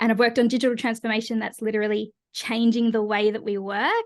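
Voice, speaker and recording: In an Australian accent, a woman with a fairly high pitch speaks in a flat monotone against a quiet background. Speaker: change leadership consultant and coach. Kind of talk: podcast interview.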